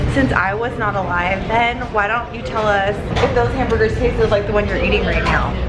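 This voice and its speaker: In a Californian accent, a woman talks at a fairly quick pace amid noticeable background noise and audible room echo. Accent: Californian American. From Southern California (Downey). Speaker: YouTuber. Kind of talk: casual vlog. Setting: outdoors. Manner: animated.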